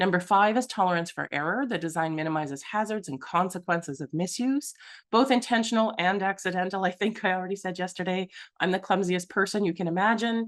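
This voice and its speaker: A woman talks at a very fast pace. Her pitch sits in the medium range. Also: ordinary pitch variation, quiet background. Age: 40s. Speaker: accessibility consultant. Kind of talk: presentation. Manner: animated.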